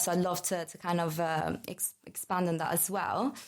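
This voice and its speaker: Intonation stays monotone and flat. The pace is moderate. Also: woman. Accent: Italian. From Italy. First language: Italian. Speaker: marketing manager. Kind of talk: casual chat.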